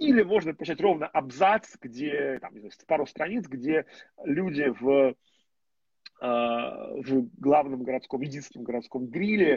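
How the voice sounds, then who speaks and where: A man at a moderate pace, lively intonation, dry, close sound with no echo. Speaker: literary critic and journalist. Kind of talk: casual conversation. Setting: call.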